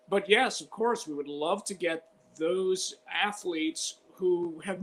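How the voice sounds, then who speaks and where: With an American accent, a man speaks in a high voice at a fairly slow pace over noticeable background noise. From Chicago (Albany Park). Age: 60s. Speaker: sportscaster. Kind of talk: interview.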